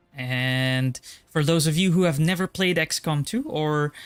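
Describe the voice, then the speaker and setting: Over music in the background, a man with a fairly high pitch is heard in a dry, close sound with no echo. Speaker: gaming streamer. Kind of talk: live game stream commentary. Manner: hesitant, many filler ums.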